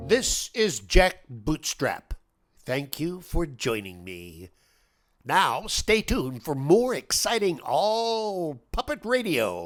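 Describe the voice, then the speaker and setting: Over a silent background in a very clean recording, a man uses a put-on character voice at a high pitch. His pace is very slow. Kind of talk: satirical radio news commentary.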